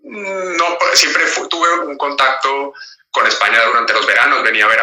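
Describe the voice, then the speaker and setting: A man speaks with a Colombian accent. His pace is fairly quick. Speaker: actor, voice actor and dancer. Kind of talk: interview. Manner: halting, many fillers and repetitions.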